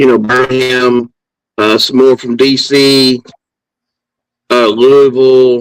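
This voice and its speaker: Medium-pitched male speech in an American accent. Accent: Southern US, redneck. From Alabama, US South. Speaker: football podcast co-host. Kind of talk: casual chat.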